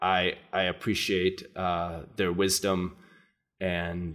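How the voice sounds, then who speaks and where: A man with an American accent speaks at a very slow pace in a very deep, low voice, with music playing in the background. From US Midwest, southern Minnesota (Fairmont). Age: 50s. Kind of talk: casual interview. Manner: hesitant, many fillers.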